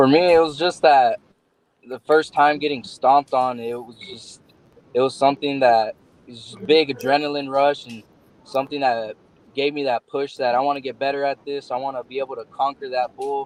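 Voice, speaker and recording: A man with an American accent at a moderate pace, fairly even in intonation, with big swings in loudness. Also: fairly high pitch for a man. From Texas, Odessa. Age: 20s. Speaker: bull rider. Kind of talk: interview.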